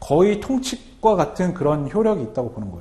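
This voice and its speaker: The speaker races along very fast with very wide pitch swings, and room echo is audible. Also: man. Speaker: customs broker instructor. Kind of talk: lecture.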